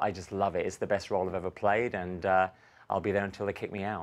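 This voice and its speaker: A man with a London accent at a very fast pace, against a quiet background. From London, England. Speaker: stage actor. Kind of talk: tv interview.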